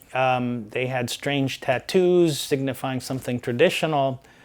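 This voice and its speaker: An unremarkable speaking voice belongs to a man with an American accent. His pitch is medium with ordinary variation, and his pace is fairly slow. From Saudi Arabia, American compound. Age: 60s. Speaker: software engineer and lawyer. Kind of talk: interview storytelling.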